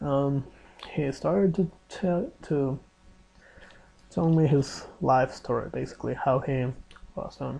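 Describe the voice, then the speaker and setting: Very slow speech in a Spanish accent, broken by long, frequent pauses. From Mexico. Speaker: exchange student vlogger. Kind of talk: casual video diary. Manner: halting, with fillers and restarts.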